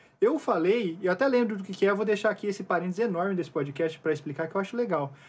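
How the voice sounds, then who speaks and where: Lively intonation carries the extremely rapid delivery. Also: man, high pitch for a man. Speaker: podcast co-host. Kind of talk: casual chat. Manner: fast.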